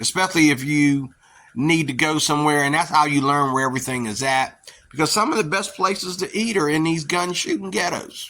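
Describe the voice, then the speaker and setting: In an American accent, a man speaks with a bright, sharp tone at a fairly high pitch. His pace is fairly quick, with ordinary pitch variation. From western Pennsylvania, near Pittsburgh. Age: 50s. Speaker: YouTuber, social commentator. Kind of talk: casual monologue. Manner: rambling, filler-heavy.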